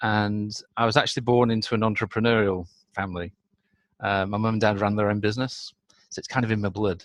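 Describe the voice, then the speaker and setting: Speaking very fast yet with long, frequent pauses, a man with a northern English accent has a fairly low pitch and a monotone, flat intonation. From northern England. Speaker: business consultant. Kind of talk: interview.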